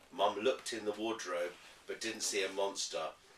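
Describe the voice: Fairly low male voice with a fairly bright tone, fairly even intonation and audible room echo. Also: moderate pace.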